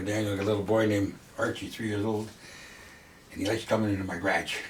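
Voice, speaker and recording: In a room with audible echo and noticeable background noise, a man speaks very fast at a fairly low pitch in a monotone, flat delivery. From western Canada (Fernie, BC), Italian-born. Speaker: longtime local resident. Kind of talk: interview.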